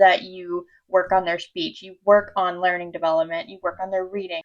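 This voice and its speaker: Over a quiet background, a woman with a medium-pitched, unremarkable speaking voice talks at a fairly quick pace. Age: 20s. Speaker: vlogger, incoming medical student with hearing loss. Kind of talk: personal vlog talk.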